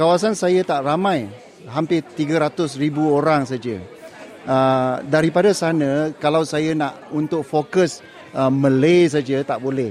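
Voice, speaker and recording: Crowd noise carries behind a man whose fairly high voice moves at a very slow pace. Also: ordinary pitch variation. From Malaysia, Muar, Johor. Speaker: politician. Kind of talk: interview. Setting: outdoors at an event. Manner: halting, with fillers.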